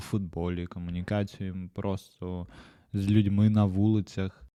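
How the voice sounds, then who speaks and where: Speaking very slowly, a man uses a fairly low pitch and a dark, mellow tone with fairly even intonation. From Ukraine. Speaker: podcast host. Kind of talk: solo podcast monologue.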